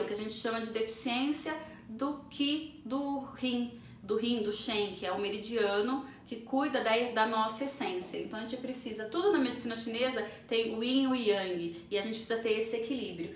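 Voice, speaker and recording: Audible room echo and noticeable background noise. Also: woman. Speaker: naturologist. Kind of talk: interview. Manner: fast.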